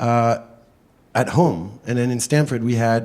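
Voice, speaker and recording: In a very clean recording with a silent background, a man with a French accent speaks in a dark, mellow tone and fairly even intonation. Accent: French accent, can't get rid of it. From France. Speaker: state legislator. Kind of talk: panel discussion. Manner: hesitant, many fillers; talkative.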